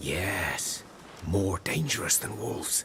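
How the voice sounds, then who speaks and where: Putting on a character voice, a man speaks at a fairly slow pace and fairly low pitch, with clear background noise. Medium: machinima. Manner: blunt, rustic.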